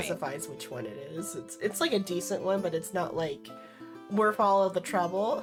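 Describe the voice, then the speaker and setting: With music in the background, a woman of fairly low pitch speaks with very wide pitch swings. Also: moderate pace. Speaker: dungeon master. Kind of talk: casual live stream talk.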